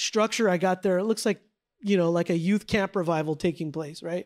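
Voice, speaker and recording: Very cleanly recorded with a silent background and a dry, close sound with no echo, a man speaks with an American accent. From San Jose, California. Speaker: pastor and Bible teacher. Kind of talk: Bible teaching lecture. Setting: church with live audience. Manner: animated, casual with repeated false starts.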